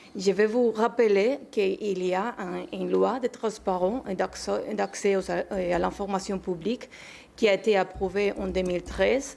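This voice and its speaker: In a Spanish accent, a woman speaks at a medium pitch with vocal fry. Her pace is fairly slow and her intonation fairly even. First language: Spanish (speaking French). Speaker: archivist, association president. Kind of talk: panel talk. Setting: conference in the Senate. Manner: halting, many fillers.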